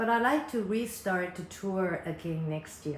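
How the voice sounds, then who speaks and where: A woman with a Japanese accent talks at a fairly slow pace with lively intonation. The recording has audible room echo and noticeable background noise. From Japan, Osaka / Takarazuka area. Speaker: concert producer and fan community vlogger. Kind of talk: casual monologue to fans. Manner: careful, non-native pacing.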